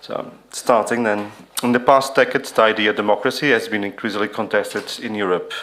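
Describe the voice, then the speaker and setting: Over noticeable background noise, a man speaks at a fairly quick pace in a medium pitch with fairly even intonation. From Portugal. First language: non-English. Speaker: conference speaker. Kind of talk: reading aloud.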